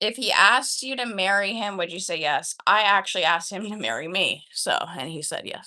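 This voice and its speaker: A woman's bright, sharp, animated voice with an American accent, medium in pitch with ordinary pitch variation, fairly quick with hardly any pauses and big swings in loudness. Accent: sounds American, people say Midwest. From Canada. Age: 20s. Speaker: livestreamer. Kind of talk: casual chat. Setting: live stream.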